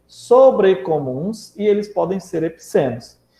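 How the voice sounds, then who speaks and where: A man talks in a high pitch with lively intonation. His pace is fairly slow. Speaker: school teacher. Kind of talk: lecture. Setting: online class.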